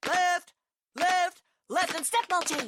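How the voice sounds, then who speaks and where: The voice is a put-on character voice. It sits at an extremely high pitch. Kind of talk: loud, clipped. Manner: barking, commanding.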